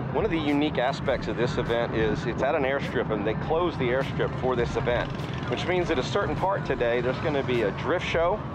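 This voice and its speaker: A man at a fairly quick pace, dry sound with no echo, loud background noise. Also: ordinary pitch variation. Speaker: car show vlogger. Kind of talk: casual vlog chat. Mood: relaxed, enthusiastic. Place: street. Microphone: phone near.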